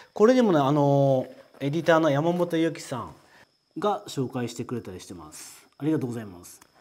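Speaking at a fairly quick pace, a man uses a fairly high voice with lively intonation and big swings in loudness. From Japan. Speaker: potter presenting his own work. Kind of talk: casual product introduction video. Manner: casual, conversational. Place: studio. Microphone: lapel.

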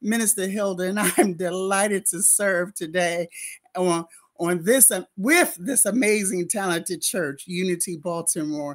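All around, the background is quiet. The delivery keeps a moderate pace. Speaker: minister welcoming the congregation. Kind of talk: church welcome address. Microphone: webcam.

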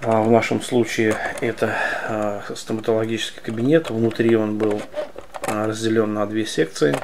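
A man's intonation stays fairly even as noticeable background noise continues behind him. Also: fairly slow pace. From Soviet Union (Russia). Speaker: model collector YouTuber. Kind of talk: product review. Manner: halting, many filler sounds. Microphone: phone near.

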